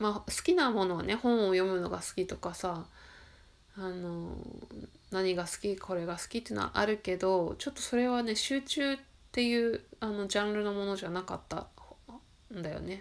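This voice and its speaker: A woman talks at a moderate pace and a medium pitch. Her voice shows ordinary pitch variation. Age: 40s. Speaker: solo podcaster. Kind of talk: personal monologue. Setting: home recording late at night. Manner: reflective, hesitant.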